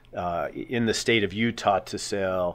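Here is a man with an ordinary speaking voice. His pitch is fairly low and his intonation fairly even. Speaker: guest. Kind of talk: interview answer. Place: studio. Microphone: studio mic.

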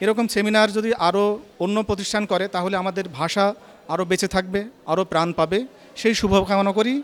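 A man's high-pitched voice with fairly even intonation. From Bangladesh, Chuadanga. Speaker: course participant. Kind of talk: testimonial.

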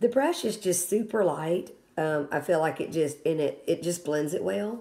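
With lively intonation, a woman speaks at a fairly low pitch. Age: 50s. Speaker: product reviewer. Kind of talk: product review tutorial. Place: home room. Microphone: phone near.

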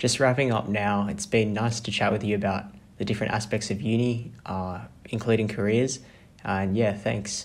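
In an Australian accent, a man speaks at a moderate pace in a fairly low, monotone voice with flat intonation and audible room echo. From regional Australia. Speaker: student podcast host. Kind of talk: casual interview. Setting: podcast recording.

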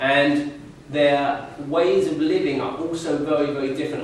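Strong room echo surrounds a man's voice. His intonation is fairly even, with light background noise. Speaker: speaker. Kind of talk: public talk.

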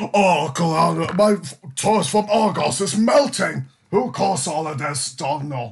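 A man does a put-on character voice pitched high. He talks at a fairly slow pace. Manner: silly, erratic, crude.

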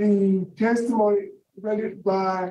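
A voice with an American accent and audible room echo. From US South. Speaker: parole board chairman. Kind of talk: formal hearing. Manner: hesitant, many fillers. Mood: formal, measured. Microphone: video call.

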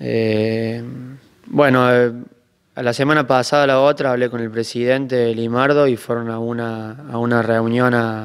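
A man talks at a fairly slow pace. His intonation is monotone and flat. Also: quiet background. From Argentina, Córdoba province. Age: 20s. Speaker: bocce world champion; interviewee. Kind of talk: interview. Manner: halting, many repetitions and fillers. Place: hall. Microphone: handheld.

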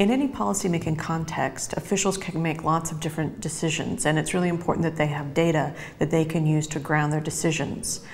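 A woman's very deep, low voice at a very fast pace, with hardly any pauses and ordinary pitch variation. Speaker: interviewee. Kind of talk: interview answer. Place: office.

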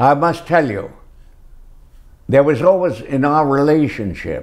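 Over a quiet background, a man speaks very slowly with lively intonation. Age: 80s+. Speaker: actor. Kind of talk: interview answer. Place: home room. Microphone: lapel.

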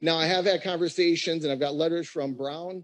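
A man speaks at a moderate pace against a quiet background. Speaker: county sheriff. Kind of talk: public meeting discussion. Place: hall. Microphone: podium.

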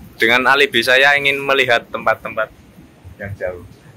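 There is light background noise. A man speaks with fairly even intonation. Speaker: vlogger filming the trip. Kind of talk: casual vlog chat. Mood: playful, joking. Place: beach. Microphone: phone near.

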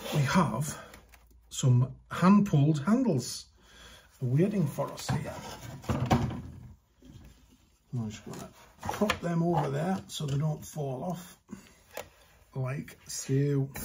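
A man speaks at a very slow pace with long, frequent pauses, ordinary pitch variation, and big swings in loudness, against noticeable background noise. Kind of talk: tutorial. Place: workshop.

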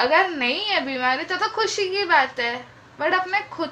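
Very slowly, a woman speaks in a raised, projected voice. There is light background noise. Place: home room. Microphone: phone near.

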